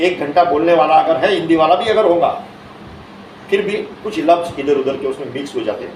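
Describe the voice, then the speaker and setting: Amid noticeable background noise and audible room echo, a man with a high pitch speaks at a moderate pace. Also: ordinary pitch variation. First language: Marathi (speaking Hindi). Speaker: invited speaker. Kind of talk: speech at official event.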